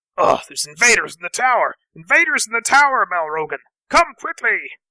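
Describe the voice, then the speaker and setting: Using a put-on character voice, a man sounds gruff at an extremely high pitch and a fairly quick pace. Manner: alarmed, shouting.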